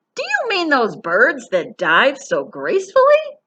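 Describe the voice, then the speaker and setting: Using a put-on character voice, a woman speaks at a fairly slow pace in a raised, projected voice with an extremely high pitch. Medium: read story. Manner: loud, hearty.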